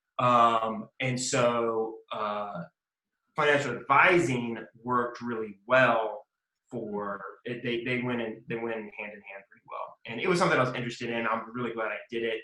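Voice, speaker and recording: Speaking with a Southern US accent, a man has a medium pitch and a bright, sharp tone. His moderate pace and fairly even intonation come with big swings in loudness. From US South, Mississippi. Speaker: lawyer. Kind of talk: interview. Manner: casual, with frequent fillers.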